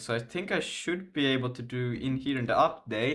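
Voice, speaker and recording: A man's fairly high-pitched voice with a Finland Swedish accent and ordinary pitch variation. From Finland (Swedish-speaking). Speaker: game developer streamer. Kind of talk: live coding stream. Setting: live stream. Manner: halting, many fillers.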